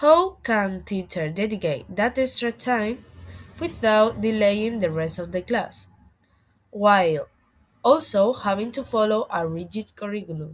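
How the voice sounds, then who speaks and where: In a very clean recording with a silent background, a woman with a Spanish accent speaks at a fairly slow pace, her medium-pitched voice carrying lively intonation. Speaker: university student. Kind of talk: student presentation.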